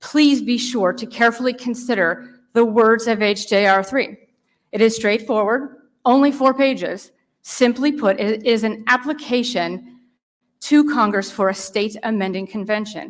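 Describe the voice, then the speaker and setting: A woman with an American accent and a plain, everyday voice, fairly high in pitch, at a moderate pace with ordinary pitch variation. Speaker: citizen volunteer giving legislative testimony. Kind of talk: testimony before a legislative committee.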